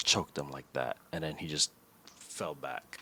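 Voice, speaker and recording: This man has a very deep, low pitch with vocal fry and a bright, sharp tone, speaking at a moderate pace with a slight Filipino accent in a dry, close recording with no echo. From Philippines. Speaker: podcast co-host. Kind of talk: casual chat. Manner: halting.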